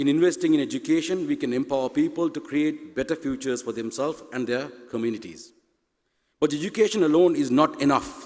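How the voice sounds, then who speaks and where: This man has a Tamil accent. He talks at a very fast pace. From Sri Lanka. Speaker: university president. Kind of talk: conference speech. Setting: stage with audience.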